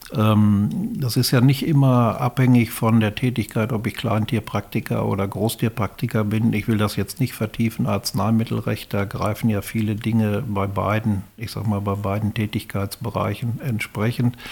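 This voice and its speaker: Somewhat breathy and fairly low in pitch, a man speaks at a moderate pace. He keeps a fairly even intonation with hardly any pauses. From Westphalia, Germany (Erwitte, Hellweg). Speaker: retired farm veterinarian and professional-body official. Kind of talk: casual interview. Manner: halting, with repeated words.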